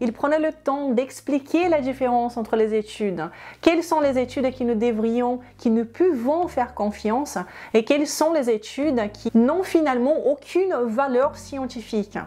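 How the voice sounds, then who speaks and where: Against a quiet background, a woman speaks at a fairly slow pace in a high voice with a dark, mellow tone. Her pitch varies in an ordinary way. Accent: Portuguese. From Brazil. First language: Portuguese (speaking French). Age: 30s. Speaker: health and weight-loss youtuber. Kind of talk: personal story to camera.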